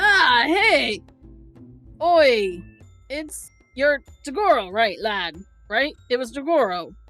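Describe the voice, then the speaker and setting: Over faint music in the background, a female-sounding put-on character voice speaks at a very slow pace with long, frequent pauses. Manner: friendly, familiar, jovial.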